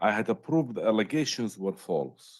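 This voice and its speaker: Vocal fry runs through this man's medium-pitched voice. His intonation is lively, and his pace fairly slow. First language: not English. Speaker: appellant representing himself in court. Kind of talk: court argument, reading prepared statement. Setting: courtroom. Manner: halting.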